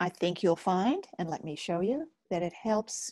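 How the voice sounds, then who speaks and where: A woman speaks fairly slowly with very wide pitch swings, in a dry sound with no echo and a quiet background. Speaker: webinar host, focusing teacher. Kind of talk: webinar talk, guided process. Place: home room. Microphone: earbuds.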